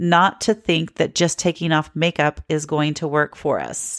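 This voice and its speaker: A woman talks at a moderate pace with a slight Southern US accent. The sound is dry and close, with no echo. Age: 50s. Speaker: podcast host. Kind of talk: solo podcast talk.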